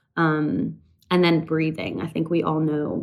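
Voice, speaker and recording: A woman with a Canadian accent speaks at a moderate pace in a fairly low pitch with vocal fry. The recording is very clean, with a silent background. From rural Canada. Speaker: country singer. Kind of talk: interview.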